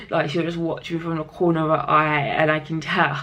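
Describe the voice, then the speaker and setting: Audible room echo surrounds a woman whose pitch is very deep and low. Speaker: health vlogger with liver disease. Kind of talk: casual vlog talk. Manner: halting, many false starts.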